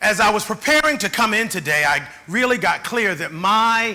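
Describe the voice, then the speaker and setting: Projecting his raised voice with lively intonation, a man speaks at a moderate pace amid audible room echo. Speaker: keynote speaker. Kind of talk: keynote speech. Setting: conference stage with audience.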